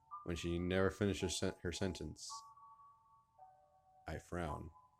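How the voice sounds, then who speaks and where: Over music in the background, a man with a very deep, low pitch speaks at a very slow pace. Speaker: gaming YouTuber. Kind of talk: let's play commentary with reading game dialogue aloud. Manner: casual, emotional.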